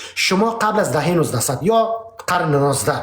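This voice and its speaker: Speaking at a moderate pace with a Pashto accent, a high-pitched man sounds animated, his intonation lively, with audible echo from the room. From Afghanistan (Pashtun). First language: Pashto (speaking Persian). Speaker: political debate host. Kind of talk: heated debate.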